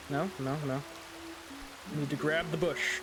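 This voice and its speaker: A man's fairly high voice at a very slow pace, with audible room echo and music in the background. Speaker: streamer. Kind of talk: gaming stream commentary. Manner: halting.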